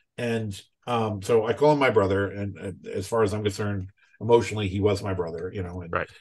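Somewhat breathy, a man talks at a fairly quick pace with ordinary pitch variation. The background is quiet. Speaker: writer and tabletop game designer. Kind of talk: casual interview chat. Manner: animated, repeats words often. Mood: warm, reflective. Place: home room. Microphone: video call.

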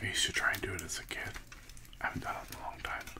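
Whispering, a man talks at a very fast pace. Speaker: food reviewer. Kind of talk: casual vlog chat. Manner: soft, hushed ASMR talk. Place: home room. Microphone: studio mic.

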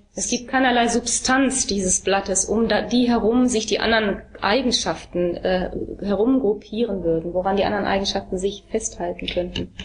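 Over noticeable background noise, a woman talks at a fairly quick pace with very even loudness and ordinary pitch variation. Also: medium pitch for a woman. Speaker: interpreter. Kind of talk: consecutive interpreting of a talk.

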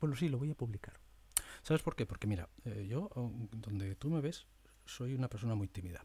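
Lively intonation marks a man's somewhat breathy, dark, mellow voice. He moves at a fairly quick pace yet takes long, frequent pauses. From Spain. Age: 50s. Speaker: media presenter; former TV newsreader, podcaster. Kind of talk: monologue; casual monologue, thinking aloud. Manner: animated; halting. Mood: reflective, sometimes sad. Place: home room. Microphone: studio mic.

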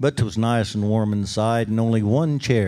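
Fairly even intonation throughout a passage of reading aloud in a natural voice

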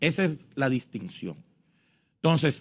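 A man is speaking. The background is quiet. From Dominican Republic. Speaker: elections official; election guest. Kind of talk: interview. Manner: formal. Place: studio. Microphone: lapel.

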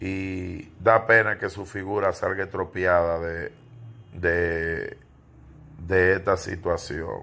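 A man's very deep, low voice with a bright, sharp tone, fairly even intonation and a very slow pace. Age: 40s. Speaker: entertainment gossip commentator. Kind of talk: casual video commentary monologue. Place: home room. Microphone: phone near.

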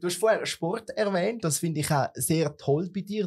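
Over a quiet background, a man speaks in a high voice with lively intonation. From Switzerland. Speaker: podcast and TV host; podcast, TV host. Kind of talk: casual interview. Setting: studio. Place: studio. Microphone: studio mic.

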